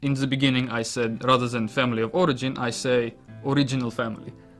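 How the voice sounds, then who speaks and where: With music in the background, the speaker talks at a moderate pace in a non-native accent. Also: man. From Russia. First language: Russian. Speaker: psychology student on placement. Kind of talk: interview. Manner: halting.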